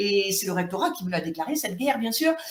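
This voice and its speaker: A woman's voice makes very wide pitch swings amid audible room echo. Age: 60s. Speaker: YouTuber and former teacher in dispute. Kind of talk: video monologue. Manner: hesitant, many fillers.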